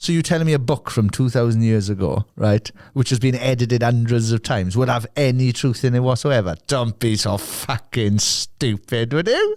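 A man talks at a medium pitch and a moderate pace with ordinary pitch variation. His loudness stays very even. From South Wales. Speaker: musician and podcast host. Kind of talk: angry rant. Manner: animated; sweary.

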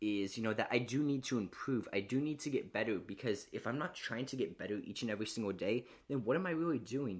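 Against a quiet background, a man talks with lively intonation. He has a plain, everyday voice. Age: 20s. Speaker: podcaster. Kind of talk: motivational monologue.

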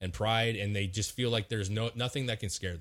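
A somewhat breathy man with an American accent at a fairly quick pace, in a very clean recording over a silent background. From Washington state, US. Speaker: podcast co-host. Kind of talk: casual chat.

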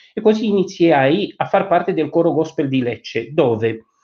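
A man speaking at a fairly slow pace, with lively intonation. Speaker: immigrant sharing life story. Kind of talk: radio interview, storytelling. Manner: animated.

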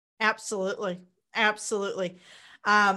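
A woman speaks at a fairly slow pace in a US Midwestern accent. The recording is very clean and the background is silent. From Kansas, US Midwest. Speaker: entrepreneur and book publisher. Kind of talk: interview.

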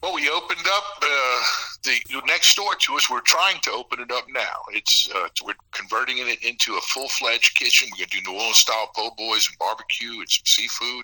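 A man talking with hardly any pauses and big swings in loudness, dry and close with no echo, over noticeable background noise. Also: fairly quick pace. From south Louisiana. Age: 50s. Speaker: bar and restaurant owner. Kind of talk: casual chat.

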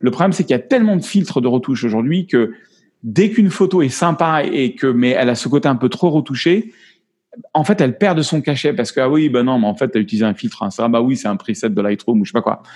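Very fast speech from a man, fairly high in pitch, with very wide pitch swings. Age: 50s. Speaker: photographer. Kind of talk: interview. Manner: halting.

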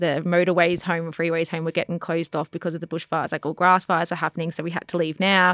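Very fast speech comes from a woman with an Australian accent and a fairly low pitch. The recording is very clean and silent in the background, with a dry, close sound and no echo. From Australia, Melbourne eastern suburbs. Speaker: podcast guest. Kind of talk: casual chat.

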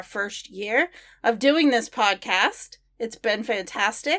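In a very clean recording with a silent background, a woman with a plain, everyday voice speaks fairly slowly at a fairly high pitch, with lively intonation. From Maine, US. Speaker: podcast host. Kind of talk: scripted podcast outro; interview.

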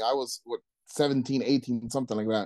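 A man's medium-pitched, flat monotone, dark and mellow in tone, with a dry, close sound and no echo. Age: 30s. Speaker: DJ. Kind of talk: casual chat. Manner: halting.

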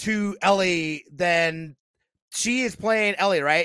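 A man with a high pitch and a bright, sharp tone uses a raised, projected voice at a fairly slow pace with ordinary pitch variation, the sound dry and close with no echo on a very clean recording with a silent background. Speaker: gaming podcast co-host. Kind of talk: casual chat. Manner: loud.

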